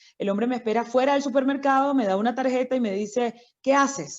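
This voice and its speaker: A woman rattles along at a very fast pace over a quiet background. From Venezuela, Caracas and Barlovento, Miranda. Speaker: doctor. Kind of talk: interview.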